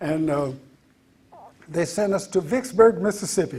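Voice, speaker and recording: A man with lively intonation talks fairly slowly while background noise is noticeable. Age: 80s+. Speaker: retired soul singer. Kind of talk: storytelling talk to an audience. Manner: halting with fillers.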